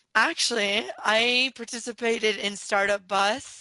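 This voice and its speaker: A woman speaks with a Californian accent and a bright, sharp tone. The sound is dry and close without echo, and the background is quiet. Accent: Californian American. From San Diego, California. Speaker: entrepreneur. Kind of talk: interview.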